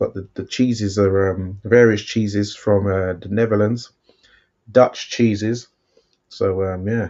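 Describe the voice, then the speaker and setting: In a London accent, a man speaks fairly slowly and fairly low, his intonation monotone and flat. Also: big swings in loudness. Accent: English (London), remarked on by a viewer. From London, England. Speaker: boxing watchalong co-host. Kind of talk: casual live-stream chat. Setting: live stream watchalong.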